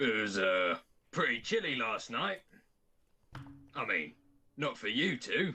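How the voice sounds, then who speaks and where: Using a put-on character voice, a man with a fairly high pitch speaks at a fairly slow pace, leaving long, frequent pauses. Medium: actual play. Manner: blunt, teasing.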